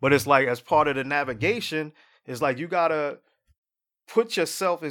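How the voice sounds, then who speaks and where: On a very clean recording with a silent background, a man with an American accent and an unremarkable speaking voice talks at a moderate pace and fairly high pitch, with ordinary pitch variation. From Jersey City, New Jersey. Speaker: fintech entrepreneur. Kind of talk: casual chat.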